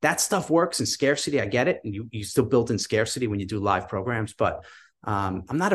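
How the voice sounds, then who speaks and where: Against a quiet background, a plain, everyday voice with an American accent moves at a fairly quick pace. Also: man. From New York. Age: 50s. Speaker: online business entrepreneur. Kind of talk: casual interview.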